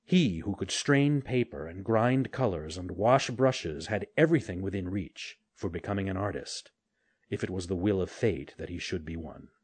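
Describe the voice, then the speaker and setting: Against a quiet background, a man with a normal speaking voice talks at a fairly low pitch and a moderate pace, with lively intonation and big swings in loudness. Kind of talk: fairy-tale audiobook reading. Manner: tender, wistful, shifting to hushed, pleading tones for the boy's lines.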